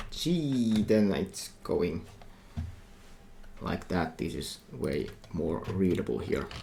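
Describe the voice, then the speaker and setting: The speech comes at a very slow pace, with audible room echo around it. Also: man. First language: Finnish. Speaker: university lecturer. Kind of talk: lecture. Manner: halting.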